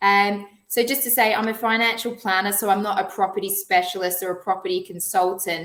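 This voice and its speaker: With an Australian accent and a medium pitch, a woman speaks at a fairly quick pace with fairly even intonation and hardly any pauses. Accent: Australian, noticeable. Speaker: financial planner. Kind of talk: webinar presentation.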